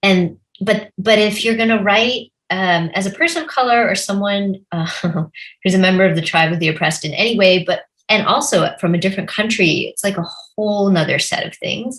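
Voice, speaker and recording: Medium in pitch and fairly quick, a woman uses an unremarkable speaking voice with lively intonation. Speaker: novelist. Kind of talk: conversational interview.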